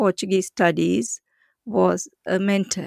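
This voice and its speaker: A woman's voice with a Sri Lankan accent, dry and close with no echo. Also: very clean recording, silent background. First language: Sinhala. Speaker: senior research fellow, linguist. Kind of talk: academic interview.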